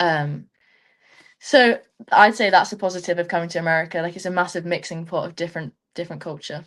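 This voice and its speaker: With an English accent, a woman speaks at a very fast pace and fairly low pitch with ordinary pitch variation, leaving long, frequent pauses against a quiet background. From England. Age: young. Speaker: student athlete, rugby player. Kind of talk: webinar interview. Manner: casual, chatty.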